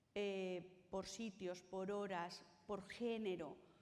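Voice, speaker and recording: There is audible room echo as a woman's voice carries through the space. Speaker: conference panelist on cultural accessibility. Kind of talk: conference talk. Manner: tries to articulate clearly.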